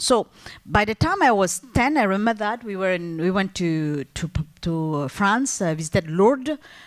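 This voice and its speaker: Her pitch swings very widely. The woman keeps a moderate speed as she talks. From Algeria, multilingual upbringing. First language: French. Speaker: entrepreneur, business owner. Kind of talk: panel discussion. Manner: halting, many fillers and restarts.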